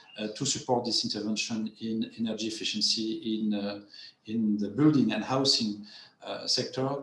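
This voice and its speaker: With a strong French accent, a man speaks at a moderate pace with fairly even intonation amid noticeable background noise and audible room echo. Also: medium pitch for a man. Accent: heavy French. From France. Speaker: development finance panelist. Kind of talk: webinar panel presentation. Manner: halting, many repetitions and fillers.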